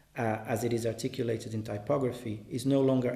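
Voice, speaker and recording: A dark, mellow tone with a Portuguese accent and audible room echo. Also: man. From Brazil. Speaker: artist and translator. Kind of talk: reading aloud. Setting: exhibition in a gallery.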